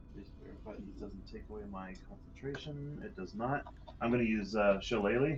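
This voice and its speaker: A man's fairly low voice at a moderate pace, with lively intonation, big swings in loudness and audible room echo. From Scotland. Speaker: tabletop role-playing game player. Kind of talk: casual game play chat. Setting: live stream.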